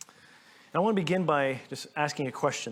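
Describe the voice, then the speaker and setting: A man with a Canadian accent talks in a normal speaking voice at a fairly quick pace. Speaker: pastor. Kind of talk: sermon.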